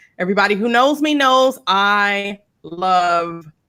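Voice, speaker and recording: A woman speaks at a medium pitch with lively intonation and a bright, sharp tone. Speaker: cocktail tasting show host. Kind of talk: casual chat. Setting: live video stream.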